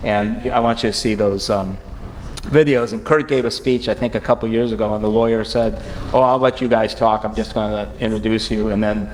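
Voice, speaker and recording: A man at medium pitch and a fairly quick pace, with audible room echo and noticeable background noise. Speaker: lawyer presenting at conference. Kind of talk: conference presentation. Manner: fast; halting, many fillers and restarts.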